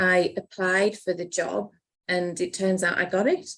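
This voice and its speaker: A woman speaks with a Cumbrian accent at a medium pitch and a fairly slow pace. Her intonation is flat and monotone. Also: very clean recording, silent background. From Cumbria, northern England. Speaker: accountant, business partner. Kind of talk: podcast interview.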